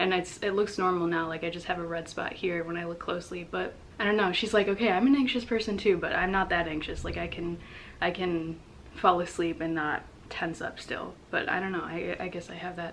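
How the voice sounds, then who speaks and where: A woman talks at a fairly quick pace with a fairly low pitch and fairly even intonation. Background noise is noticeable throughout. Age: 20s. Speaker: vlogger. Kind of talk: personal vlog monologue. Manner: casual, hesitant with many fillers.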